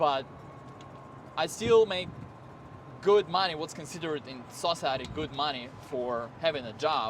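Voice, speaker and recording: A man with an Eastern European accent, fairly high-pitched, at a moderate pace, with lively intonation, big swings in loudness, and long, frequent pauses. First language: Eastern European language. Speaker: car salesman and video creator. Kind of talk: casual vlog talk to camera.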